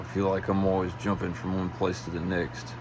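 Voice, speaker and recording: A man talks quietly at a fairly slow pace with a very deep, low pitch. Audible room echo and noticeable background noise surround him. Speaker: vlogger. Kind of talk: casual monologue. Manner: halting.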